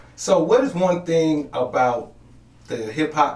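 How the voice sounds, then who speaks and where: A man at a medium pitch with very wide pitch swings, in audible room echo. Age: 30s. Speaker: podcast host. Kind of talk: casual interview chat.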